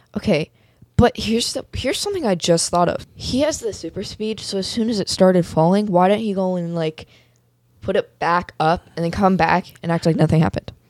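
A woman talks in an ordinary speaking voice at a medium pitch. Her pace is fairly quick, with ordinary pitch variation. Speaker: guest co-host, host's daughter. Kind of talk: casual chat.

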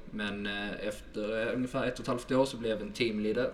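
Speaking at a moderate pace in a medium pitch, a man delivers his words with monotone, flat intonation amid audible room echo. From southern Sweden, Helsingborg (Skåne). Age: 20s. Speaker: sales manager. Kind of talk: podcast interview.

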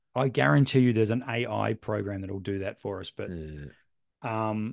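A man with an Australian accent against a quiet background. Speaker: photography podcast co-host, camera shop owner. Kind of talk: casual chat.

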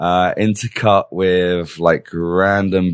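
A man speaks with an English accent in a very deep, low voice. His intonation stays fairly even against a quiet background. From England. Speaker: teacher. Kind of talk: casual chat.

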